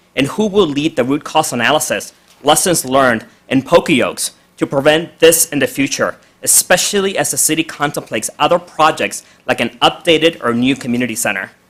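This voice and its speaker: A man with an unremarkable speaking voice talks at a fairly quick pace, his fairly high pitch carried by lively intonation. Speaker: public commenter at city council. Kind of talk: public comment reading prepared statement. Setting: city council meeting.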